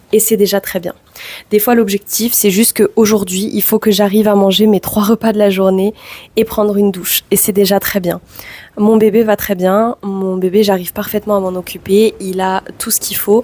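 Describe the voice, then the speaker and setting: Speaking at a moderate pace, a woman has a dark, mellow tone, a medium pitch and monotone, flat intonation. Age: 20s. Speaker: vlogger. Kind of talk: personal vlog testimony.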